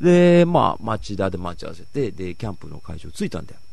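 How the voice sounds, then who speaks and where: With audible room echo around him, a man talks at a medium pitch. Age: 30s. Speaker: radio host. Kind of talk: casual chat. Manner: animated.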